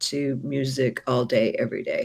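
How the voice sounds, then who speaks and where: Her voice sits at a very deep, low pitch for a woman. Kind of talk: interview answer. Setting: online video call. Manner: lively, energetic.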